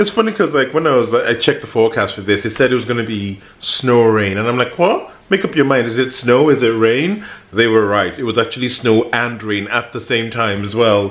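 With audible room echo, a man talks at a fairly quick pace and medium pitch, his fairly bright tone carrying lively intonation and few pauses.

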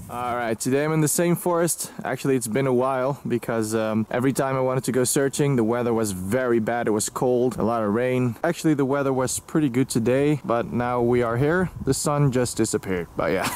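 Speaking at a fairly quick pace, a man uses ordinary pitch variation. The sound is dry with no echo. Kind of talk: casual vlog chat. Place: forest. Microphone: phone near.

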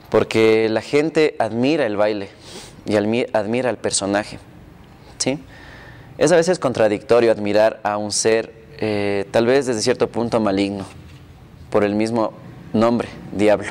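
Pausing long and often, a man talks at a fairly slow pace with ordinary pitch variation. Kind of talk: interview answer. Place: home room. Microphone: lapel.

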